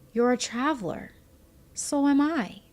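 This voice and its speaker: Using a put-on character voice, a man speaks soft-spoken and gentle at an extremely high pitch and a moderate pace. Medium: read story. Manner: gentle, soft-spoken.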